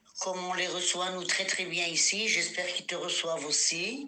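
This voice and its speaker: A woman with a medium pitch is heard with audible room echo and noticeable background noise. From Morocco, then Israel from age 11. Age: 70s. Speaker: grandmother, interviewee. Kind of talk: storytelling; voice message. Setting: at home.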